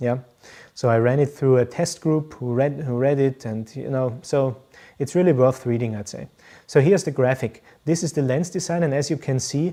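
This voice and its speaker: Someone with a German accent speaks at a moderate pace on a very clean recording with a silent background. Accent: German-speaking accent in English. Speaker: professional photographer. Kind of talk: live stream Q&A. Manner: hesitant, many fillers.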